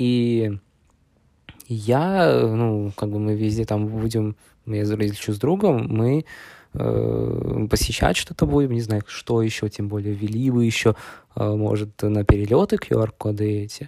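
A man speaks at a very slow pace with long, frequent pauses. His fairly low voice has a dark, mellow tone and ordinary pitch variation. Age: 20s. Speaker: podcast host, university student. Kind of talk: casual monologue. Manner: halting, with many fillers.

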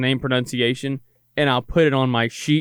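Speaking at a very fast pace, a man with a medium pitch keeps his intonation fairly even. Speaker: sports director and broadcaster. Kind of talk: casual podcast chat.

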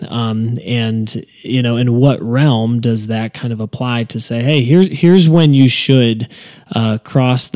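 Speaking at a moderate pace, a man with a dark, mellow tone keeps a medium pitch and fairly even intonation. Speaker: podcast host and church staff member. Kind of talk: casual interview chat.

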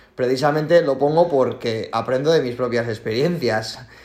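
At a moderate pace and with ordinary pitch variation, a man talks in a plain, everyday voice. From Spain. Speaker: CrossFit athlete. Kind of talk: casual interview chat.

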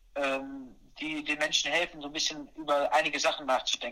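Bright and sharp in tone, a man speaks at a fairly quick pace with a fairly high pitch. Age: 20s. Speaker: personal trainer and mental coach. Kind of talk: casual chat. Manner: energetic. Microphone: poor audio quality.

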